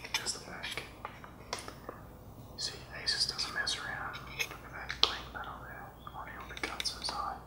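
Whispering comes with long, frequent pauses. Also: moderate pace. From Australia. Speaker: hobbyist unboxer. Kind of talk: ASMR unboxing. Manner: soft-spoken. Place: home room.

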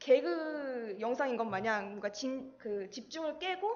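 High-pitched woman's voice at a very slow pace, full of very wide pitch swings. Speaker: presenter. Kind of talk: lecture. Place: classroom.

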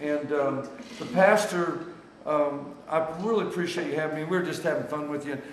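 At a moderate pace and with fairly even intonation, the voice comes through with audible room echo and light background noise. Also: man. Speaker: traveling evangelist. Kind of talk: casual vlog chat. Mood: joking, teasing friends. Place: cafe. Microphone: phone near.

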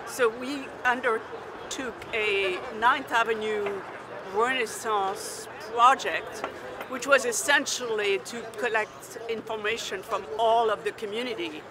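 Delivered at a very slow pace with fairly even intonation, the voice sounds dry with no echo, over noticeable background noise. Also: woman. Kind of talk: interview answer. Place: street.

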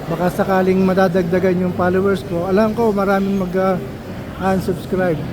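Amid crowd noise and audible room echo, a man talks in a high, monotone, flat voice with hardly any pauses. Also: moderate pace. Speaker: travel vlogger. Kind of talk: walking vlog.

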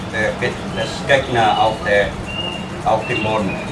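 Against noticeable background noise, a man talks at a very slow pace. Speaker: tour guide. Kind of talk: guided tour explanation. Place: hall. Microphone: camera far.

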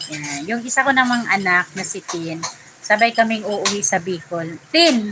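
Noticeable background noise runs under speech that moves at a fairly slow pace, with lively intonation and big swings in loudness. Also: woman, medium pitch for a woman. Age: old. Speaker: vlogger. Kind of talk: casual live stream chat. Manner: animated.

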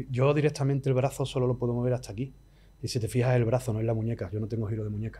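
Speaking at a very fast pace with an Andalusian accent, a man has a dark, mellow, somewhat breathy tone at a medium pitch and fairly even intonation. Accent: Andalusian Spanish (Cádiz). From Andalusia, Spain (La Línea de la Concepción, Cádiz). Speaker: musician. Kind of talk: casual interview chat.

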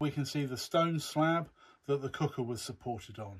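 Fairly high in pitch with a slightly husky edge, a man speaks at a fairly slow pace with ordinary pitch variation.

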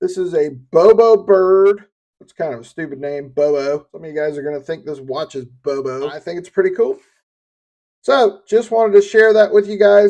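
Lively in intonation and high in pitch, a man with a Southern US accent and a dark, mellow tone talks at a moderate pace, his loudness swinging widely. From US South. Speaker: YouTuber reviewing gear. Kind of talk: product unboxing and review. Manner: casual and conversational.

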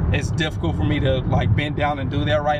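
The man's voice sounds dry with no echo, though loud background noise surrounds it. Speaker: fitness vlogger. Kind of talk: casual vlog chat. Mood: relieved, upbeat. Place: car.

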